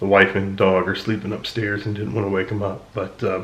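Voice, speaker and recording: A soft-spoken man with a fairly low voice talks at a fairly quick pace in a monotone, flat intonation, with audible room echo. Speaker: watch reviewer and vlogger. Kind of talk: casual vlog. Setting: at home early morning, then in a car. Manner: hesitant, many fillers.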